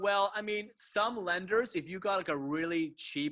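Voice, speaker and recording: A man with a Canadian accent and ordinary pitch variation. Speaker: mortgage broker. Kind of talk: webinar presentation with Q&A. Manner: fast; casual.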